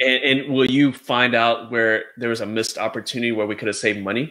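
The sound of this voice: With a bright, sharp tone and little pitch movement, a man talks at a fairly quick pace and a medium pitch.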